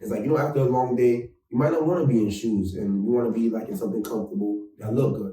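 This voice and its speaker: In a New York accent, a man with a medium pitch and a dark, mellow tone talks at a very fast pace with hardly any pauses and ordinary pitch variation. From New York, Bronx. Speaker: fashion designer. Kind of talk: casual chat. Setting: studio. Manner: animated.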